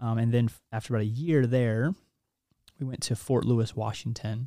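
Recorded very cleanly with a silent background and a dry, close sound with no echo, a man with an American accent speaks fairly quickly at a medium pitch in a dark, mellow tone. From US Midwest (Kansas). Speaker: army officer. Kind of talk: interview. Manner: halting.

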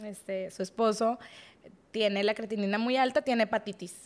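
A woman has an unremarkable speaking voice, fairly high in pitch, with fairly even intonation. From Mexico, Monterrey. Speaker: podcast guest. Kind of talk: testimony.

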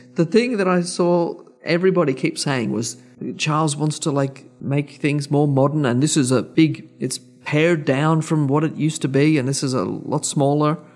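Here a man speaks with an Australian accent in a fairly high voice. His pace is moderate and his pitch variation ordinary. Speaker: podcast co-host. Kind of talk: casual chat.

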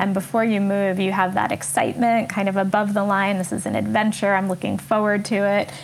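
A woman's medium-pitched voice with a New York accent, monotone and flat, very even in loudness, at a fairly quick pace with hardly any pauses. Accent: New York American. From New York City, US. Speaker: coach and author. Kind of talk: casual interview conversation.

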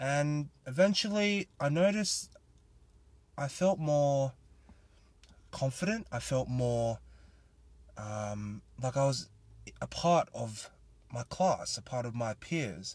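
A somewhat breathy man with an Australian accent, fairly high pitch and very wide pitch swings, a very slow pace with long, frequent pauses, and a quiet background. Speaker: podcast host. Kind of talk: casual solo monologue.

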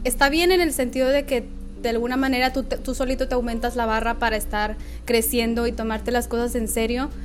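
Amid noticeable background noise and audible room echo, a high-pitched woman speaks at a fairly quick pace with fairly even intonation. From northern Mexico, Nuevo Laredo. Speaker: magazine founder and editor. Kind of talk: casual interview.

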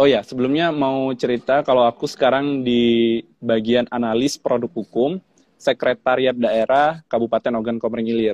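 Hardly pausing at all, a man talks at a moderate pace with medium pitch and fairly even intonation. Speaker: civil servant, scholarship awardee. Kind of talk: casual interview.

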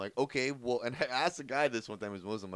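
This very clean recording with a silent background has a man with a plain, everyday voice speaking at a medium pitch with ordinary pitch variation. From Iranian-American family, US. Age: 30s. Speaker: comedian and podcast co-host. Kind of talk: casual chat.

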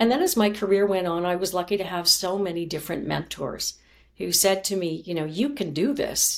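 A plain, everyday voice with a Canadian accent, ordinary pitch variation and a fairly quick pace. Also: woman. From Canada. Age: 50s. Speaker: former journalist and communications coach. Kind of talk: interview.

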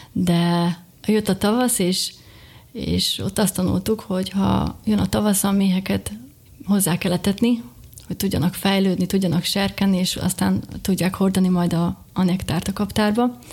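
The voice is somewhat breathy, its intonation fairly even. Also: woman, medium pitch for a woman, fairly slow pace. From Slovakia, Bodrogköz (Hungarian minority). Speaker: beekeeper and small business owner. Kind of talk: interview.

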